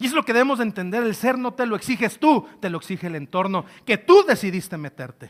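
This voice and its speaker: In a very clean recording with a silent background, a man speaks in an animated tone at a high pitch and a very fast pace, with very wide pitch swings and hardly any pauses. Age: 20s. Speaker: trainer. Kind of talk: lecture.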